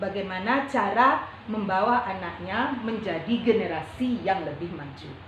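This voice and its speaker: With noticeable background noise and audible room echo, a woman with a fairly high pitch talks at a fairly slow pace and with lively intonation. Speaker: primary school teacher. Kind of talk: coaching conversation.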